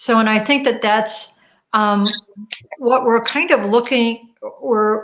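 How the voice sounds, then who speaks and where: With a plain, everyday voice, a woman talks at a fairly slow pace, fairly high in pitch and with fairly even intonation. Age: 60s. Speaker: radio host. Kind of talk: interview conversation.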